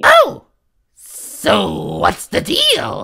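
A raspy put-on character voice. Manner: blustering, aggressive.

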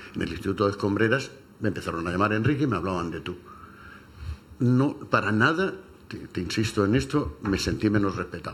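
A man talks fairly quickly at a fairly low pitch with lively intonation. He has a normal speaking voice. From Cartagena, Spain. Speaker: retired English teacher. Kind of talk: radio panel discussion. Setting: radio studio.

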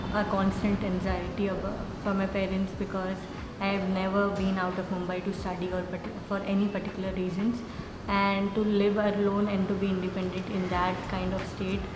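Background noise is noticeable throughout. A woman talks at a moderate speed. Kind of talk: interview answer. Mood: calm, reflective. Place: classroom.

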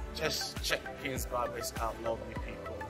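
A man speaks at a very slow pace. Clear music plays in the background. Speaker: vlogger. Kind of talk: casual vlog chat. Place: market. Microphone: phone near.

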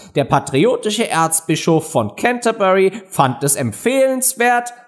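This man talks in an animated, pompous tone, his pitch swinging very widely. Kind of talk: audiobook narration, reading a story aloud with character voices.

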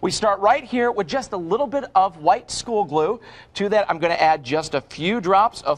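A man speaks at a high pitch and a moderate pace. His tone is upbeat and enthusiastic, with lively intonation. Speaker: infomercial host. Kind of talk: infomercial demonstration. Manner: upbeat, enthusiastic. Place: studio. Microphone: lapel.

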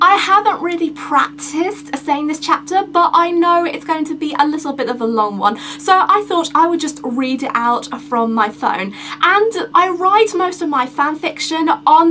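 A woman's raised, projected voice with lively intonation at a moderate pace, over light background noise. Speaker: vlogger. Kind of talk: casual vlog chat. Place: home room. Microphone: camera far.

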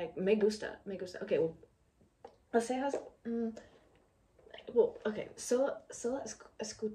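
Her voice sits fairly high for a woman. The pitch rises and falls in an ordinary way. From United States. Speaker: exchange student. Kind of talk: casual reaction vlog to camera. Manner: hesitant, mixing English fillers. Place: home room.

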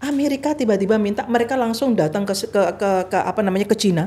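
A woman's medium-pitched, somewhat breathy voice with a dark, mellow tone at a fairly quick pace. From Indonesia. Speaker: former ambassador and religious organization leader; podcast guest. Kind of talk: interview. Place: studio. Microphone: studio mic.

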